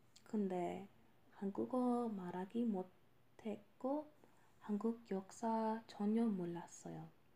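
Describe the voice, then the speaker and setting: The tone is dark and mellow, somewhat breathy, with a non-native accent. Delivery is very slow, with fairly even intonation. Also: woman, medium pitch for a woman. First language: not Korean (speaking Korean). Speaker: podcast host and language learner. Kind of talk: casual monologue. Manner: halting.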